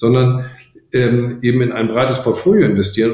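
Here a man speaks at a moderate pace. His voice is somewhat breathy. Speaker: venture capital investor. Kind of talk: interview. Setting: video call. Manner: halting.

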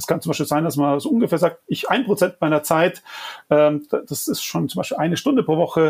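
A man speaks very fast in a high voice with ordinary pitch variation. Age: 40s. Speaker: design agency owner and climate activist. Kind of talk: interview. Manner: hesitant with frequent fillers.

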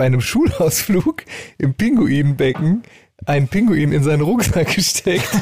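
At a moderate pace, a man with a normal speaking voice, fairly high in pitch, uses lively intonation in a dry, close sound with no echo. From rural Germany (village). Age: 40s. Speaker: band member and podcast co-host. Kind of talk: casual chat.

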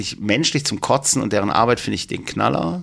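A man rattles along at a very fast pace. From Germany, Duisburg (Ruhr area). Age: 50s. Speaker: tattoo artist. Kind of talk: casual chat.

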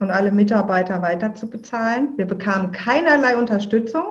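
The woman's voice sits at a medium pitch, somewhat breathy, with ordinary pitch variation. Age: 50s. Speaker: filmmaker and podcaster. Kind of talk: interview.

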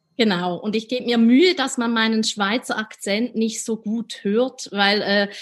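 Here a woman speaks at a fairly slow pace with ordinary pitch variation. The recording is very clean, the background silent. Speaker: editor-in-chief. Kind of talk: interview. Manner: hesitant, many fillers.

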